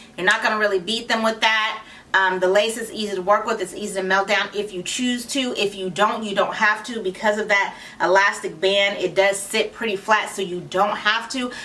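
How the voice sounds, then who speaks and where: Fairly even intonation at a fairly quick pace, with noticeable background noise. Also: woman, medium pitch for a woman. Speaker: wig reviewer and channel founder. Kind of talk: product review. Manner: casual, chatty.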